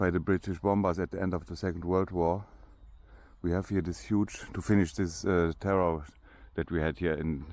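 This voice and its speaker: A man speaks in a very deep, low voice with a German accent at a moderate pace. His intonation is fairly even, and the background is quiet. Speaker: vlogger giving a walking tour. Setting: outdoors. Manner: hesitant, with frequent restarts.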